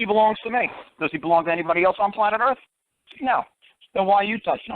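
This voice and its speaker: Speaking very fast in a New York accent, a high-pitched man sounds animated, with ordinary pitch variation. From New York City, Bronx. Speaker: common law talk show host. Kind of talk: call-in radio advice.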